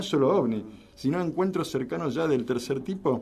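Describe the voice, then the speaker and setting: A man with an unremarkable speaking voice, fairly high in pitch, lively in intonation and fairly slow in pace. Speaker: radio host. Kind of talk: radio talk show.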